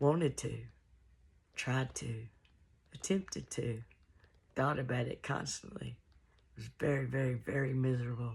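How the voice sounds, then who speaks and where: A woman's very deep, low voice with vocal fry, a moderate pace, ordinary pitch variation and long, frequent pauses. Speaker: musician and artist. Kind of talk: casual talk to camera, personal testimony.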